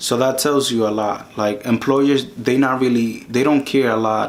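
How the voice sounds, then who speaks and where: A man with a Spanish accent speaks at a fairly slow pace in a medium pitch, his intonation fairly even, over noticeable background noise. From Dominican Republic. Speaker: YouTube career advice creator. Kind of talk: tutorial. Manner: casual, with frequent self-repetitions.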